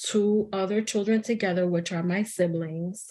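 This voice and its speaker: A woman speaks with a Spanish accent. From New York City, the Bronx. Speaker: psychotherapist. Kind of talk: interview conversation. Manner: casual with many fillers.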